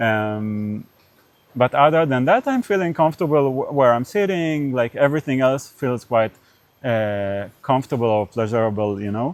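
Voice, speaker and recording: A man talks at a moderate pace with medium pitch. His intonation is lively. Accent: Israeli. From Israel. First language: Hebrew. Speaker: podcast interviewer. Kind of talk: casual interview conversation. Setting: on camera. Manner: halting, many fillers.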